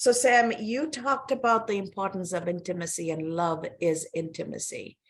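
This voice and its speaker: A woman with a Sri Lankan accent, medium in pitch, with ordinary pitch variation. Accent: Sri Lankan English, British-learned. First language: not English. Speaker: podcast host. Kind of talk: interview conversation.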